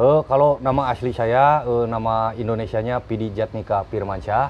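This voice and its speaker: With light background noise, a man of medium pitch talks at a moderate pace with fairly even intonation and hardly any pauses. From West Java (Sumedang, Sundanese); West Java. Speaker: comedian and impersonator; comedian. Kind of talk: casual interview chat. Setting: studio. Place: studio.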